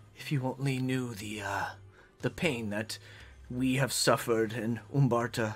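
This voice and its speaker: Using a put-on character voice at a medium pitch, a man speaks at a fairly slow pace. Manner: pained, mournful.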